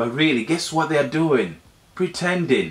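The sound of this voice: At a fairly slow pace, a man talks at a fairly high pitch with big pitch swings.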